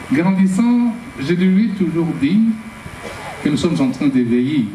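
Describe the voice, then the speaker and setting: In a room with audible echo and noticeable background noise, a man with a high voice speaks very slowly, his pitch swinging very widely while his loudness stays very even. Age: 70s. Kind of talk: testimony.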